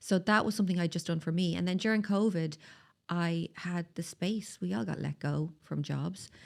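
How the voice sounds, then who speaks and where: In a very clean recording with a silent background, a woman with a Dublin accent speaks at a moderate pace, her fairly low pitch showing ordinary pitch variation. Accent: Dublin Irish. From Ireland, Dublin (Tallaght). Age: 40s. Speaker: skincare business founder. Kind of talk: podcast interview. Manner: animated.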